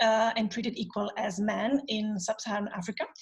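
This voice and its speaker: A woman's fairly high, somewhat breathy voice with fairly even intonation. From Italy. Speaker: panel host, economist. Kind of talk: online panel talk.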